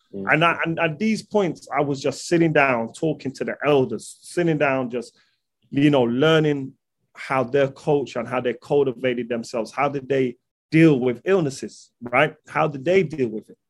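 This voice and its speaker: A man with a London accent, fairly high in pitch, at a moderate pace. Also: ordinary pitch variation. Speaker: holistic nutrition practitioner. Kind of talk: casual interview.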